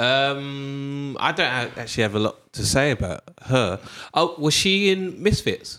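On a very clean recording with a silent background, a man with a British accent speaks at a fairly slow pace in a fairly high pitch, his tone bright and sharp and his intonation lively. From Britain. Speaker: podcast presenter. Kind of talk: casual chat.

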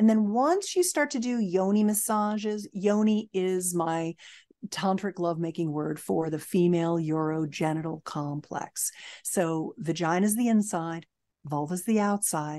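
Against a quiet background, a woman with a dark, mellow tone and medium pitch speaks at a moderate pace with ordinary pitch variation. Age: 60s. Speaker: intimacy expert. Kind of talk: podcast interview. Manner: energetic.

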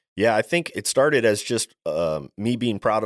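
A man with an American accent is heard in a dry, close recording with no echo. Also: very clean recording, silent background. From Maryland, US East Coast. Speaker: plumbing business owner. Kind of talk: interview.

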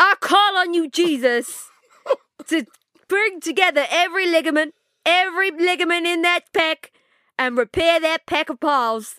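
A woman uses a raised, projected voice at an extremely high pitch. Her tone is bright and sharp. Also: ordinary pitch variation, dry, close sound with no echo. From East London. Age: 20s. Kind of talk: casual interview chat. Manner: fast talker; animated.

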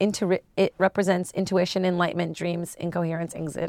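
With an ordinary speaking voice, a woman talks at a moderate pace. Her pitch is fairly low and her intonation fairly even. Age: 30s. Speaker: stand-up comedian. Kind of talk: casual chat.

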